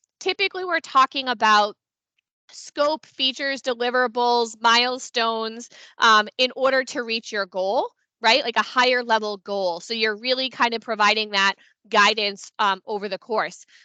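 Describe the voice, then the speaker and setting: A woman speaks at a moderate pace with a fairly high pitch, ordinary pitch variation and a bright, sharp tone, recorded dry with no echo against a quiet background. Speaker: consulting firm founder presenting a webinar; presenter. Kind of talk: webinar presentation. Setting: online meeting on Teams. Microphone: headset.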